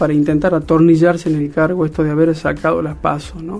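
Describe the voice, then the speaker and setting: A man speaks very fast at a fairly high pitch. Noticeable background noise can be heard. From Argentina, Salta (Cafayate). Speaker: politician. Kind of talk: interview.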